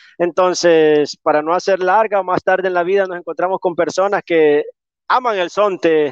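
Recorded with a dry, close sound, no echo and a quiet background, a man with a high pitch speaks at a moderate pace with fairly even intonation. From El Salvador, coastal community. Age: 30s. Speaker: entrepreneur. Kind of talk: online interview.

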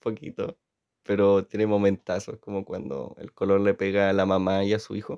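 In a Chilean accent, a man speaks at a moderate pace with a dark, mellow tone, the sound dry and close with no echo against a quiet background. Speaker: audiovisual communication student, vlogger. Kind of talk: casual solo monologue. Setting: in his bedroom at home. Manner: rambling, hesitant improvised speech.

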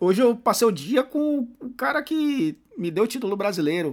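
A man speaks with very wide pitch swings. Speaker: podcast host. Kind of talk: interview conversation.

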